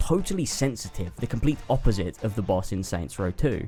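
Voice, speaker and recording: With music in the background, someone speaks fairly quickly in an English accent. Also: man. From England. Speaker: video game critic. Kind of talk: video essay narration.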